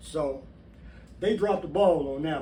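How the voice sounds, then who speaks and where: A man at a moderate pace with ordinary pitch variation, in audible room echo. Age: 60s. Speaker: former prisoner and channel host. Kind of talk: personal testimony to camera. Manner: casual, conversational.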